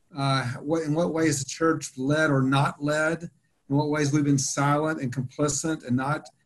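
Speaking with an American accent, a man with a fairly high pitch sounds somewhat breathy and keeps a moderate pace and fairly even intonation. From US South, Atlanta. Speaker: theology professor. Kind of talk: panel discussion.

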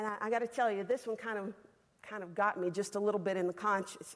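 A woman with a Southern US accent, medium pitch and ordinary pitch variation. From Alabama. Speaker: women's Bible class teacher. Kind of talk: sermon. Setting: stage with audience. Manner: fast.

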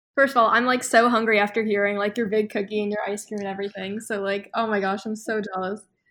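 A woman with an American accent speaks very fast at a fairly high pitch, with hardly any pauses and a monotone, flat intonation. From Boston. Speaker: college student. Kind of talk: casual chat.

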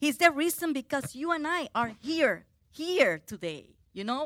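A woman speaks in a raised, projected voice at a fairly slow pace. The sound is dry and close with no echo, on a very clean recording with a silent background. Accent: Spanish. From Puerto Rico. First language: Spanish. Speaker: preacher. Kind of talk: sermon. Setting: church. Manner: halting.

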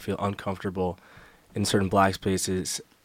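Here a man speaks with an American accent at a fairly low pitch. The recording is very clean, with a silent background. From New York. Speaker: college student, fraternity member. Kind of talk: casual interview chat.

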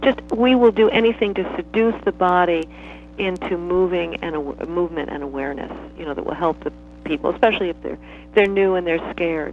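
A woman at a fairly quick pace, big swings in loudness, over noticeable background noise. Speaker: dance teacher. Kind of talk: guided movement meditation. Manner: crisp, staccato.

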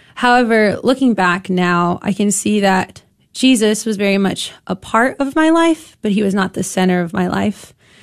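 A woman speaks in a normal speaking voice at a moderate pace, with medium pitch, lively intonation, hardly any pauses and a quiet background. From Granbury, Texas. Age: 20s. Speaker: campus ministry team director. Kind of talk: radio interview.

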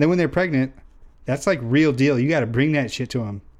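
A man with an American accent has a normal speaking voice at medium pitch. His pitch variation is ordinary. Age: 20s. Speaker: podcast co-host. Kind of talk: casual chat.

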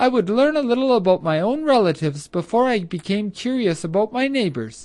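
The put-on character voice runs fairly high in pitch, swinging very widely at a moderate pace. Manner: scolding.

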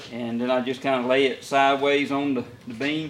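Amid audible room echo, a man with a Southern US accent talks at a fairly slow pace in a fairly high voice with fairly even intonation. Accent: Southern US (Georgia). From US South, Middle Georgia. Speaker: taxidermist. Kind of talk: tutorial. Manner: halting.

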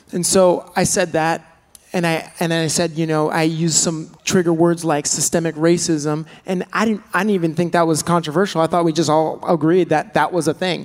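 A man speaks in a high voice. His pace is moderate. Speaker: pastor. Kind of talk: panel discussion. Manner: casual, enthusiastic.

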